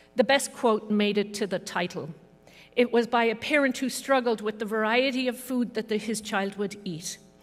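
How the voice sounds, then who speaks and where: A woman's fairly high voice with an Irish accent, ordinary pitch variation and a moderate pace. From Ireland (Dublin). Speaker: professor. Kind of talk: ceremonial speech.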